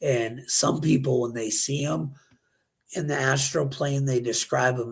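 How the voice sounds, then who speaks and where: A man is talking here. His voice has a somewhat breathy quality. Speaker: conspiracy news show host. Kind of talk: casual talk show.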